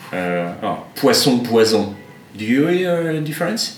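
Speaking at a fairly slow pace with a French accent, a man swings very widely in pitch amid noticeable background noise and audible room echo. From France. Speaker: shop owner. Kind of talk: casual chat. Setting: barbershop. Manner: halting.

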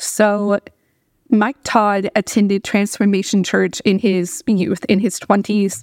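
At a very slow pace, a woman speaks at a medium pitch with fairly even intonation and very even loudness, the sound dry and close with no echo. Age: 30s. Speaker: podcast host. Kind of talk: solo commentary podcast.

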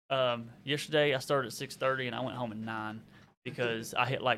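Speaking at a fairly quick pace in a monotone, flat intonation, a man with a slight Southern US accent has a medium pitch and a bright, sharp tone. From Arkansas. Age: 30s. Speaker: YouTuber and reseller. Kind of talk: casual chat.

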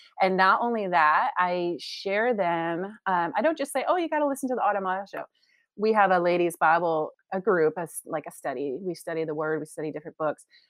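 A woman speaks in a normal speaking voice at medium pitch, moving at a fairly quick pace with lively intonation. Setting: video call.

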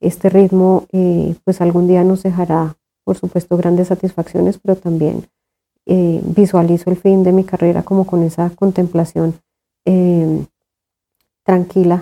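A woman speaks at a fairly slow pace with long, frequent pauses and monotone, flat intonation. Her voice is fairly low in pitch, dark and mellow in tone, and very even in loudness. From Colombia, Tunja (Boyacá). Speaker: theatre director, cultural manager. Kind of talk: interview. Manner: hesitant, many fillers.

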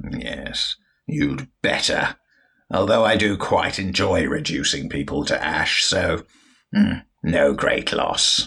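A man speaks in a put-on character voice with a menacing tone. His pace is very slow. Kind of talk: comic villain overacting. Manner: sneering, menacing, haughty.

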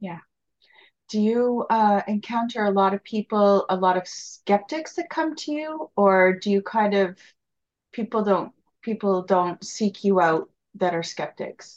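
Against a quiet background, a woman speaks in an unremarkable speaking voice at a medium pitch and a fairly slow pace with ordinary pitch variation. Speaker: interviewer, podcast host. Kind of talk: casual interview.

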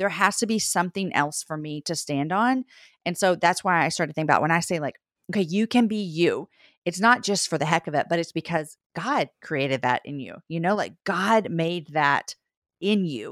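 In an ordinary speaking voice, a woman talks at a moderate pace with a fairly low pitch and lively intonation. The sound is dry and close with no echo, on a very clean recording with a silent background. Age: 40s. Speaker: author and podcast host. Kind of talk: interview conversation.

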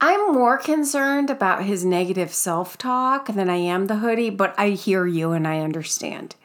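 A woman talks at a moderate pace with lively intonation. Noticeable background noise is present. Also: medium pitch for a woman. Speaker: podcast host. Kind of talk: casual chat. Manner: laughs often, chatty.

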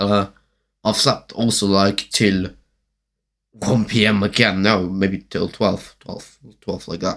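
Speaking at a very slow pace, a man keeps a fairly low pitch and a monotone, flat intonation. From Germany. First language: German. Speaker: podcaster. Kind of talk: casual monologue. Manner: rambling, halting.

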